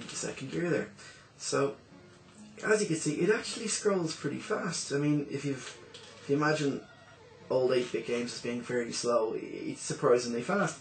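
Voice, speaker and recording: Over music in the background, a man with a fairly high pitch uses lively intonation and takes long, frequent pauses. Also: moderate pace. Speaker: retro game reviewer. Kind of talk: casual game review commentary.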